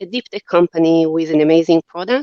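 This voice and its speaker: A woman with an Israeli accent speaks in a fairly low pitch with a dark, mellow tone. Her intonation stays fairly even, and the sound is dry and close with no echo. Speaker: company CEO. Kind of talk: podcast interview.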